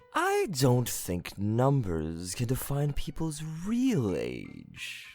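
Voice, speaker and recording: In a put-on character voice with a low-to-middle pitch, the speaker talks at a very slow pace in a playful, smug tone. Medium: audio drama.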